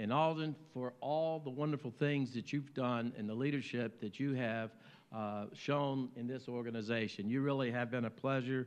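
A man in an American accent, at a moderate pace with fairly even intonation. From US South, Virginia. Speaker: mayor. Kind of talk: speech. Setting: luncheon stage with audience. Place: hall. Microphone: podium.

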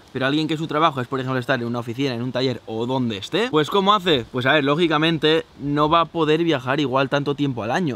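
With a dry, echo-free sound, a man talks very fast at a fairly high pitch, leaving hardly any pauses. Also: ordinary pitch variation. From Spain. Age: 20s. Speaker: travel vlogger. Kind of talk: Q&A vlog. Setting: outdoors. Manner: animated. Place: open country. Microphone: phone near.

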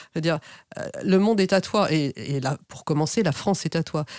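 The recording is very clean, with a silent background. A woman with a very deep, low pitch speaks in lively intonation. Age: 50s. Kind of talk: interview.

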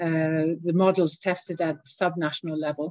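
In a dry recording with no echo, a woman speaks with a Norwegian accent. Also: quiet background. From Norway. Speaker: diplomat; interview guest. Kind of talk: interview. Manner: hesitant, many fillers. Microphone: video call.

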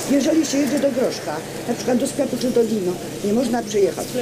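A woman talks at a very fast pace. Loud background noise runs behind her. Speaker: resident. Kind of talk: public debate. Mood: earnest, complaining. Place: street.

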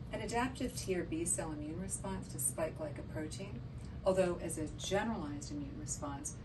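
Fairly quick speech over noticeable background noise. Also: woman. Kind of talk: lecture. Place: office.

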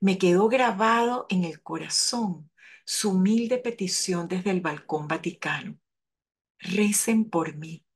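Over a quiet background, a woman speaks very slowly in a somewhat breathy voice, with a medium pitch and ordinary pitch variation. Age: 70s. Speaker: lay parish coordinator. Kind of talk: spoken reflection.

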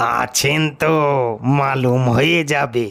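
In a put-on character voice, the speaker sounds gruff, keeping the intonation fairly even. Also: man, medium pitch for a man. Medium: read story. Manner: rustic, deferential.

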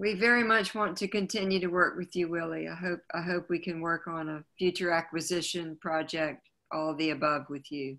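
With an American accent, a woman speaks in a bright, sharp tone and a fairly low pitch, keeping a moderate pace, hardly any pauses and fairly even intonation against a quiet background. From US South, Wilmington, North Carolina; North Carolina. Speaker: museum curator. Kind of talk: panel conversation. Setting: video call. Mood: warm, appreciative. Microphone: video call.

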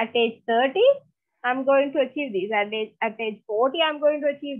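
With a Sri Lankan accent, a woman speaks at a high pitch and a fairly slow pace. Her pitch variation is ordinary. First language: Sinhala. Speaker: lecturer. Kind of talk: online lecture. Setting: video call.

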